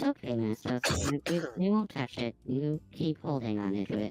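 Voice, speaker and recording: Speaking at a moderate pace, the put-on character voice sits at a low-to-middle pitch. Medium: actual play. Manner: formal, precise, polite.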